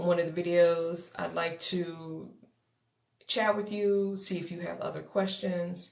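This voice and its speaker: A woman with an American accent, fairly low-pitched, at a very slow pace amid audible room echo. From Texas. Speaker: coach for neurodivergent entrepreneurs. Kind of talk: livestream talk to viewers. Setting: social media livestream.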